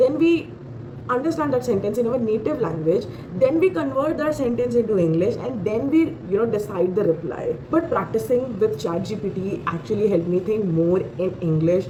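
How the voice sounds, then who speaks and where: A woman with an Indian accent at medium pitch, very wide pitch swings and a moderate pace, over noticeable background noise. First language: Hindi. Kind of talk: casual talk to camera. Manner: hesitant, many fillers.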